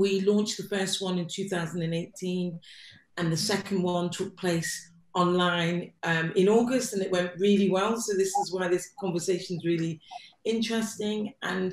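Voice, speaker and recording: A woman talks with an English accent. Her pace is moderate. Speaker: arts platform director and research fellow. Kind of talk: online panel introduction.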